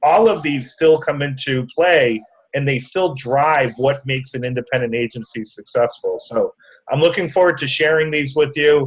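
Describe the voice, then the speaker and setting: A man at a moderate pace, fairly high in pitch, with a slight Massachusetts accent. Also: ordinary pitch variation. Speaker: conference speaker. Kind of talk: casual talk preview.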